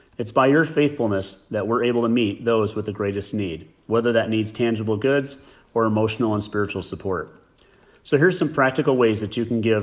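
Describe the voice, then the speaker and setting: A man with a plain, everyday voice and an American accent, medium in pitch, at a fairly quick pace with ordinary pitch variation. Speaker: associate pastor. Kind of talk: announcement.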